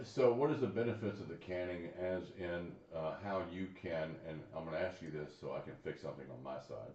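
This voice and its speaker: A man with a very deep, low voice talks at a fairly quick pace with lively intonation and hardly any pauses, amid audible room echo and noticeable background noise. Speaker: show host. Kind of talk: casual chat.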